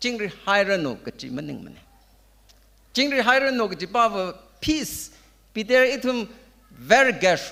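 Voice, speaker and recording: In a raised, projected voice, a man with a high pitch and a bright, sharp tone uses lively intonation at a moderate pace, leaving long, frequent pauses. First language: Tangkhul. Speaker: preacher. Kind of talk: sermon. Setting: church. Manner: code-switching between Tangkhul and English.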